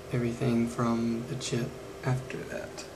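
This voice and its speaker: Over noticeable background noise, a man speaks at a very slow pace. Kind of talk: tutorial. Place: workshop. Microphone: phone near.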